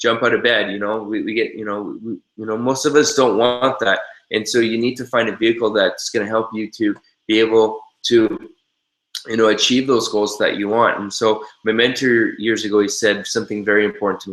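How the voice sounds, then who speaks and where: A man with a Canadian accent talks at a medium pitch in a monotone, flat intonation. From Canada. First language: American Sign Language. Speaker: network marketing trainer. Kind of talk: webinar training. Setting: live webinar. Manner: hesitant with many fillers.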